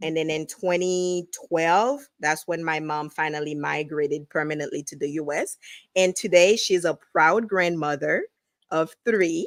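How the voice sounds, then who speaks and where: Spoken at a fairly slow pace with a strong Haitian accent. The recording is very clean, with a silent background. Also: woman, fairly low pitch for a woman, ordinary pitch variation. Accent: Haitian Creole accent, still strong. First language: Haitian Creole. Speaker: realtor. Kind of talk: interview.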